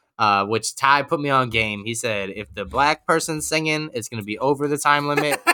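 Talking at a fairly quick pace with hardly any pauses, a man with a New York accent has a medium pitch, ordinary pitch variation and a bright, sharp tone. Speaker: podcast co-host. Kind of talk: casual chat.

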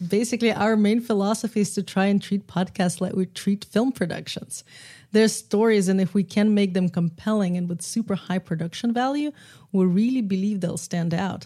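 In a Russian accent, a woman with a dark, mellow, somewhat breathy tone speaks with ordinary pitch variation on a very clean recording with a silent background. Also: medium pitch for a woman, moderate pace. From Russia, Moscow. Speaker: film and podcast producer. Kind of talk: casual chat.

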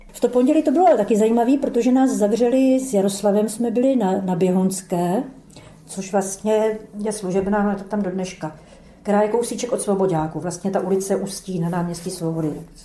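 In a room with audible echo, a woman talks at a fairly quick pace, her medium pitch showing ordinary variation. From Czechia, Brno (South Moravia). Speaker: former dissident, eyewitness. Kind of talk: oral history testimony. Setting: archive interview recording.

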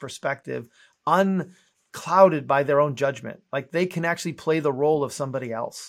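On a very clean recording with a silent background, a man with a plain, everyday voice speaks at a fairly quick pace, fairly high in pitch, with ordinary pitch variation. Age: 50s. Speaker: entrepreneur and author. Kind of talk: interview.

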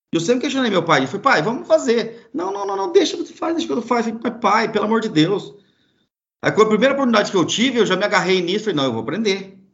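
A very fast man with a high pitch and very wide pitch swings. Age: 40s. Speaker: charcoal producer and pitmaster. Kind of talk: casual interview.

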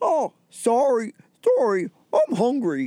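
A put-on character voice with a Canadian accent. The pitch sits fairly high.

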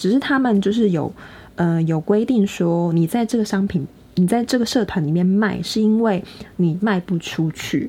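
The voice has a dark, mellow tone, is somewhat breathy, moves at a moderate pace with ordinary pitch variation, and keeps a very even loudness. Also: woman, medium pitch for a woman. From Taiwan. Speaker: podcast co-host. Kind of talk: casual chat.

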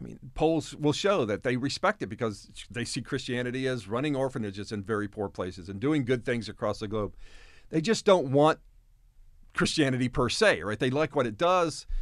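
On a very clean recording with a silent background, a man with an ordinary speaking voice talks at a fairly quick pace, his medium pitch carried by lively intonation. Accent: American. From Japan (American missionary kid). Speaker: professor and former missionary. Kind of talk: interview.

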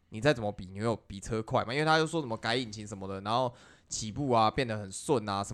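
A man talks at a very fast pace with ordinary pitch variation on a very clean recording with a silent background. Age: middle-aged. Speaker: video game podcast co-host. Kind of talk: reading news aloud; casual chat.

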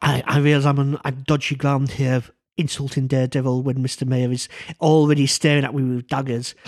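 At a fairly quick pace, a man speaks with monotone, flat intonation. His pitch is medium. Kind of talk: casual chat.

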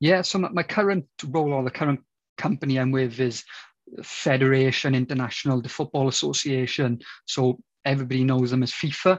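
A man with a strong Welsh accent speaks at medium pitch and a fairly quick pace. His pitch varies in an ordinary way, in a dry, close sound with no echo. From Wales. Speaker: football coach educator. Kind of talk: interview.

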